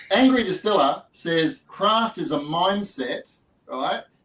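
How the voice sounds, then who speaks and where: This man has an Australian accent. His intonation is lively. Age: 60s. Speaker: distiller and podcast host. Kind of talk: casual chat.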